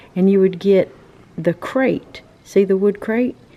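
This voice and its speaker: This woman has a dark, mellow tone and a North Carolina accent. She talks at a moderate pace with ordinary pitch variation. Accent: Southern US (North Carolina). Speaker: travel vlogger. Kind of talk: casual vlog walkthrough. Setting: outdoors. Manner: animated.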